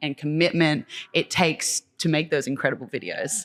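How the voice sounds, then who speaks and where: A woman with a very deep, low pitch speaks in an Australian accent on a very clean recording with a silent background. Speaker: choreographer and dance teacher. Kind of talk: casual interview.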